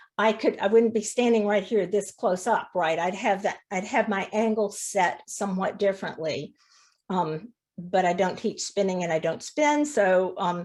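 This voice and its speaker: A normal speaking voice from a woman, medium in pitch and moderate in pace, on a very clean recording with a silent background. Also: ordinary pitch variation. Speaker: fiber arts teacher. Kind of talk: demonstration lecture.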